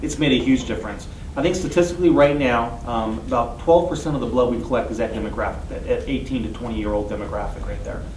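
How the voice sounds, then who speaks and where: A man talks at a very fast pace with hardly any pauses, over noticeable background noise and audible room echo. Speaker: blood service representative. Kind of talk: interview. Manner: hesitant with fillers.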